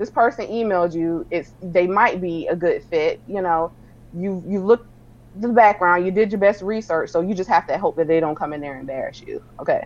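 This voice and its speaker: Using ordinary pitch variation, a woman with a medium pitch speaks at a fairly quick pace. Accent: American. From South Carolina (Sumter), US South. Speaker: celebrity publicist. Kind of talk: casual interview chat.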